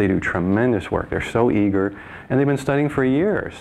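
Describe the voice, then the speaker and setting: Male speech, ordinary pitch variation, and light background noise. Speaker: naturopathic doctor. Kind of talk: radio interview answer. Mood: warm, enthusiastic. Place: studio.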